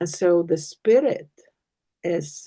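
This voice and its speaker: Speaking very slowly, a woman has a dark, mellow tone, fairly low pitch and ordinary pitch variation. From Iceland. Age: 60s. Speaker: podcast guest, spiritual speaker. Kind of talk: casual conversation.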